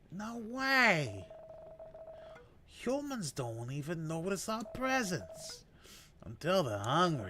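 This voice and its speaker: A man's high-pitched, put-on character voice at a very slow pace, with long, frequent pauses. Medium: game stream. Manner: hushed, wary.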